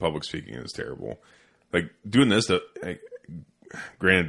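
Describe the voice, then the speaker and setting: His loudness swings widely. The man keeps a moderate pace with long, frequent pauses. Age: 30s. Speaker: podcast host. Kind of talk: casual chat. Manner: mumbling.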